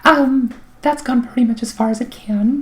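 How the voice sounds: A woman's fairly high voice with a slightly mellow tone and a slightly husky edge, ordinary pitch variation, and a moderate pace.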